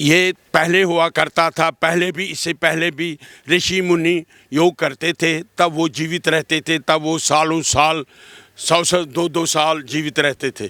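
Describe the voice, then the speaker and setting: In a dry, close recording with no echo, a man's bright, sharp, fairly high voice holds a monotone, flat intonation. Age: 80s+. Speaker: elderly yoga practitioner, former yoga teacher. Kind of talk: street interview.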